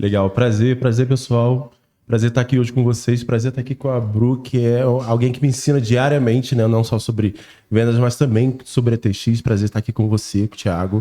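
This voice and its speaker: Against a quiet background, a man with a dark, mellow, medium-pitched voice talks at a fairly quick pace with monotone, flat intonation. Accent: strong Carioca. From Brazil, Rio de Janeiro. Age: 30s. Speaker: sales strategist. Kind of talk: casual podcast chat.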